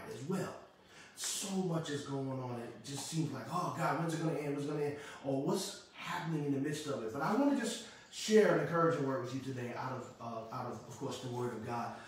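In a room with strong echo, a man talks at a fairly quick pace. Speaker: pastor. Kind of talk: sermon. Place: home room.

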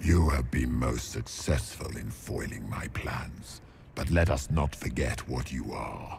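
A man's put-on character voice, extremely low and slightly mellow, with vocal fry, ordinary pitch variation, a fairly slow pace and faint background noise

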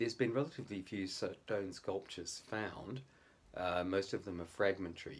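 A man's somewhat breathy voice at a very deep, low pitch, with ordinary pitch variation and a moderate pace. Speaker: amateur history commentator. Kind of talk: lecture. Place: home room. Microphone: phone near.

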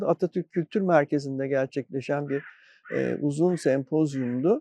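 The sound is dry and close, with no echo. A man speaks at a fairly slow pace in a dark, mellow tone. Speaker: retired university faculty secretary. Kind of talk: interview reminiscence. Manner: measured, with filler hesitations.

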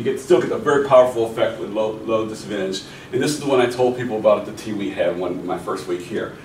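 A man with an American accent talks at a very fast pace with ordinary pitch variation. Audible room echo and light background noise can be heard. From US, Pittsburgh (Hill District); Pittsburgh. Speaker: professor; seminar lecturer. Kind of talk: lecture. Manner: halting, many fillers. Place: meeting room. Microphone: camera far.

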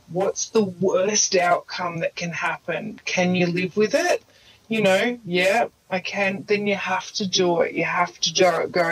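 A woman with an Australian accent speaks at a fairly slow pace in a medium pitch with ordinary variation, against noticeable background noise. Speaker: mindset coach, former nurse. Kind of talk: casual chat.

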